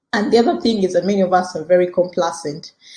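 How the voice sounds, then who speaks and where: A woman's somewhat breathy, dark, mellow voice at medium pitch, with ordinary pitch variation and a fairly quick pace. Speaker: podcast host and career coach. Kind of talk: teaching podcast talk. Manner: fast.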